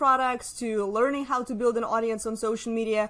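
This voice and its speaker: With a Russian accent, a woman talks at a fairly quick pace in a fairly high pitch. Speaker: social media marketer. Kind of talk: casual interview.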